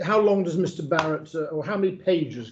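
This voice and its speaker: A man with a northern English accent, at a moderate pace. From northern England. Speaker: barrister. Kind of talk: legal inquiry discussion.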